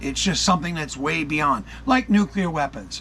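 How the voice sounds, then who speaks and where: An ordinary speaking voice with an American accent, at a moderate pace and with ordinary pitch variation. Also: man. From United States and Canada. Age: 60s. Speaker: YouTube channel host, UFO commentator. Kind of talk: casual monologue commentary. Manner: conversational, with many fillers and restarts.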